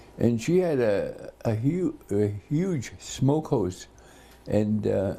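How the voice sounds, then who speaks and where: Speaking at a very slow pace, a man with a medium pitch and a dark, mellow tone makes very wide pitch swings. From Port Alberni area, British Columbia, Canada. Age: 80s+. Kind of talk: oral history interview. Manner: halting, with many fillers.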